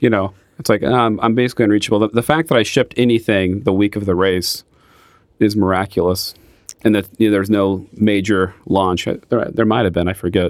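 Here is a man with a plain, everyday voice and a fairly low pitch. He talks at a fairly quick pace, with ordinary pitch variation and very even loudness. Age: 30s. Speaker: podcast co-host and pen retailer. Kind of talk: casual chat.

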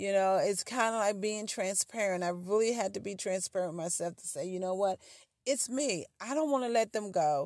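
Against a quiet background, a woman with an ordinary speaking voice and medium pitch talks at a moderate pace with ordinary pitch variation. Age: 50s. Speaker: podcast host. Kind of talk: casual chat.

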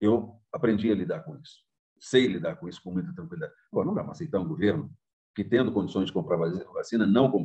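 A man talks at a very fast pace. His loudness swings widely, and his pitch swings very widely. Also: medium pitch for a man. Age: 60s. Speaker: journalism professor. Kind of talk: interview testimony.

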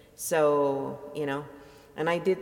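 In an Italian accent, a woman with a very deep, low pitch talks at a very slow pace with ordinary pitch variation. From Italy. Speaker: audiobook narrator and vlogger. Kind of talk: casual monologue.

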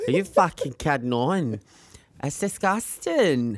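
Her pitch swinging very widely, a woman with a British accent talks in an animated tone at a fairly slow pace. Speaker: podcast co-host. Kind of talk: casual chat. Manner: animated, camp, joking.

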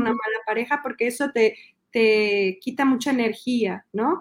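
A woman speaks with a Mexico City accent. Her pitch sits fairly high and her intonation stays fairly even. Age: 40s. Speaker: illustrator and children's book author. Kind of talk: interview.

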